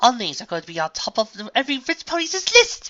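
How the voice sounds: A man puts on a character voice at an extremely high pitch with big pitch swings. His tone is bright and sharp, and he talks at a fast pace.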